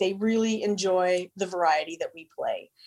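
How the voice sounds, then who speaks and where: With a Canadian accent, a woman uses an ordinary speaking voice at a medium pitch, a moderate pace and fairly even intonation. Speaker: radio station owner. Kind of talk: interview.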